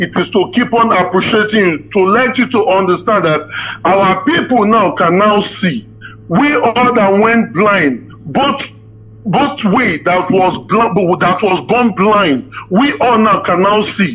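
A man with a high pitch speaks at a very slow pace with lively intonation. His loudness stays very even over noticeable background noise. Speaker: caller. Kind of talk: call-in question.

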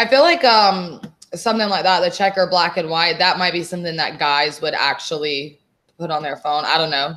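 A woman talks fairly quickly with an American accent. Her pitch is fairly low. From Texas. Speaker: online seller, podcast co-host; show co-host. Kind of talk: casual chat. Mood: relaxed, chatty. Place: home room.

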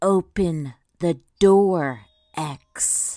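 A put-on character voice at a middle pitch comes through in a very clean recording with a silent background. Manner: strained, coughing words out; menacing.

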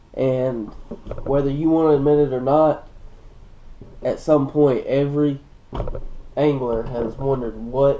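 A man speaks at a fairly slow pace with monotone, flat intonation. Long, frequent pauses break his speech, and light background noise runs underneath. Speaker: fishing vlogger. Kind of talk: casual vlog chat. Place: home room. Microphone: camera far.

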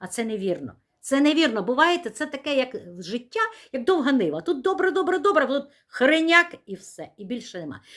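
The delivery is animated, at a moderate pace. Pitch swings very widely, and loudness swings a lot as well. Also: woman, high pitch for a woman. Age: 60s. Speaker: vlogger. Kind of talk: casual vlog talk to camera.

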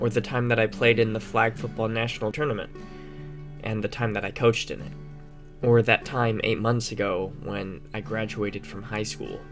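Music plays in the background as a man speaks. His pace is moderate and his pitch varies in an ordinary way. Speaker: recent high school graduate narrator. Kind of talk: reflective narration.

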